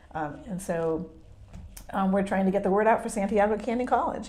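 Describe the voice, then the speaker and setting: A woman talks at a fairly quick pace and medium pitch, with ordinary pitch variation. Audible room echo surrounds her voice. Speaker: real estate agent. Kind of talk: interview. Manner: hesitant, many fillers.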